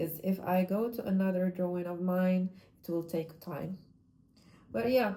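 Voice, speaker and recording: Pausing long and often, a woman with a non-native accent speaks at a fairly slow pace and medium pitch, with fairly even intonation and a dark, mellow tone. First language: not English. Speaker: vlogger, amateur artist. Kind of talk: casual monologue vlog. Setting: at home. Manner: halting, self-correcting.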